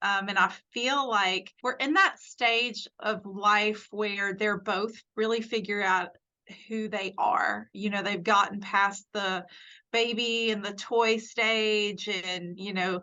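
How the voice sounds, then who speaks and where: The speaker has a Southern US accent and a monotone, flat intonation, moving at a very slow pace. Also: woman, medium pitch for a woman. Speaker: nurse. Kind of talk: casual chat. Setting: podcast interview.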